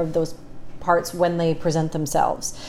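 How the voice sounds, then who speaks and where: A woman speaks over noticeable background noise. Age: 30s. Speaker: businesswoman and negotiator. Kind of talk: casual chat.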